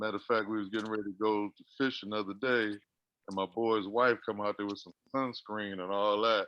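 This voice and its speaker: A man with a fairly low voice, speaking at a fairly quick pace. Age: 60s. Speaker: show regular asking questions. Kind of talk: casual chat. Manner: halting.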